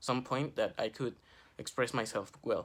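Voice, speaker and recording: On a very clean recording with a silent background, a man speaks with a Spanish accent. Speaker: student. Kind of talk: class project vlog.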